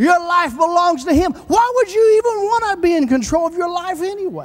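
In an animated tone, a man speaks at an extremely high pitch. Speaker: preacher. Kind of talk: sermon. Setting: church. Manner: animated, emotional, overcome with fervor; repetitive, rhythmic, exclamatory. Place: church. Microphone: handheld.

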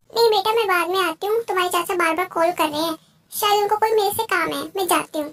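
A woman's squeaky put-on character voice, extremely high in pitch, at a very fast pace. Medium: audio drama. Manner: chatty, animated.

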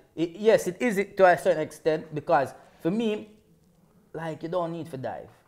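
A man with a London accent and a high voice talks at a moderate pace, with ordinary pitch variation. His loudness swings widely, and his pauses are long and frequent. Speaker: football show presenter; presenter. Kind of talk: casual banter. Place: studio.

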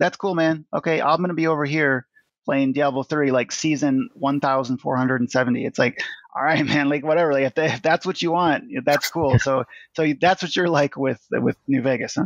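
A man's plain, everyday voice in a General American accent, with fairly even intonation and a dry, close sound with no echo against a quiet background. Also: fairly high pitch for a man, moderate pace. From US West (Nevada). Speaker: digital artist. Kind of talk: casual interview.

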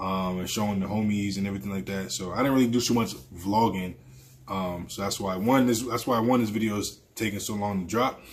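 This is an ordinary speaking voice at a fairly quick pace, with fairly even intonation. Light background noise is audible. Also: man, fairly low pitch for a man. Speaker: vlogger. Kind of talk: casual vlog chat. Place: home room.

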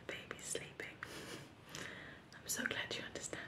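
A soft-spoken woman is whispering over noticeable background noise. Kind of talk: whispered roleplay chat to the viewer. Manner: soft ASMR whisper. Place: home room. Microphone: phone near.

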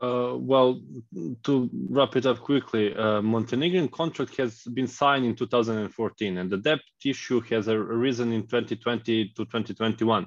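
A man with a Serbian accent speaks fairly slowly at a medium pitch with ordinary pitch variation, the sound dry with no echo against a quiet background. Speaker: researcher; panel expert. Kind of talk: panel discussion. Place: home room. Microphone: video call.

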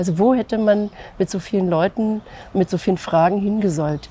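The voice is somewhat breathy, with a dark, mellow tone at a moderate pace. The sound is dry with no echo, and light background noise is present. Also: woman. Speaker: civil rights activist, contemporary witness. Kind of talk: interview answer. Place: street.

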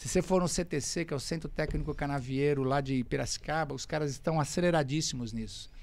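A man is talking here. His pace is fairly quick. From Brazil. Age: 50s. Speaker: racing driver; podcast guest. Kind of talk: casual chat. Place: studio. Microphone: studio mic.

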